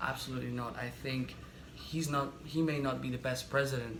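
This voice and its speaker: A man speaks in a flat monotone, with audible room echo and noticeable background noise. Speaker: political commentary vlogger. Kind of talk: opinion monologue. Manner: fast.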